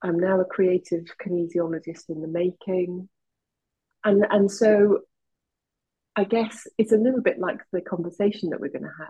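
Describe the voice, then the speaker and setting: Speaking with a Welsh accent, a woman with a somewhat breathy voice and medium pitch keeps a moderate pace and fairly even intonation, with long, frequent pauses. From Wales. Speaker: kinesiologist. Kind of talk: casual chat.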